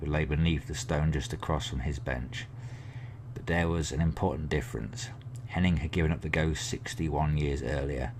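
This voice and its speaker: At a moderate pace, a man with an English accent speaks in a very deep, low pitch. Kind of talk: ASMR book reading.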